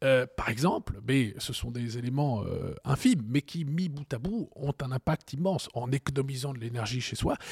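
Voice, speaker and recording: On a very clean recording with a silent background and a dry, close sound with no echo, a man speaks at a moderate pace with hardly any pauses, at medium pitch with ordinary variation, in a somewhat breathy voice. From Strasbourg, Alsace, France. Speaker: energy policy think tank director. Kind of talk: expert interview.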